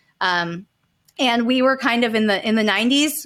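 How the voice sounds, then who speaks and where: A woman with an American accent speaks at a moderate pace in fairly high pitch, an ordinary speaking voice. The recording is very clean, with a silent background. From Calabasas, California. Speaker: survivor and victim advocate. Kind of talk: interview testimony.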